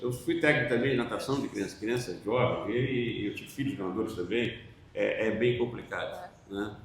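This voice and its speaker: Noticeable background noise and audible room echo surround a man's voice. He has a medium pitch and a moderate pace. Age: 60s. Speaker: panel moderator, former swimming coach. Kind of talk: panel discussion.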